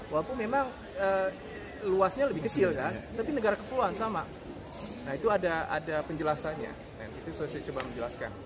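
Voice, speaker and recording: A man with a high voice talks at a fairly quick clip, his pitch swinging very widely, with long, frequent pauses, audible room echo and crowd noise in the background. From Indonesia, Jakarta. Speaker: university lecturer. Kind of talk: informal talk to students.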